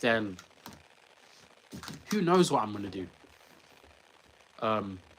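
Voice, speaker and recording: A man with a London accent, fairly low pitch and lively intonation, at a fairly slow pace, over noticeable background noise. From England. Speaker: sprinter vlogger. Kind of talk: casual vlog talk.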